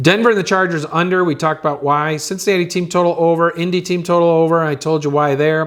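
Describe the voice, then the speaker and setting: Talking at a very fast pace, a man uses fairly even intonation and a fairly high pitch. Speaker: sports betting analyst. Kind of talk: casual picks video monologue.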